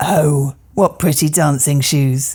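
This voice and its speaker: A woman's put-on character voice, raspy and very deep, with fairly even intonation. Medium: read story.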